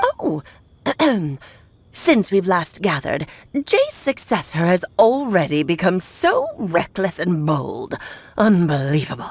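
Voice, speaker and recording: Using a put-on character voice at a medium pitch, a woman speaks at a fairly slow pace with long, frequent pauses. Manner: haughty, scolding.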